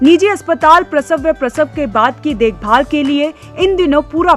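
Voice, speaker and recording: With music in the background, a woman with a high pitch talks with hardly any pauses. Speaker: news narrator. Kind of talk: TV news report narration.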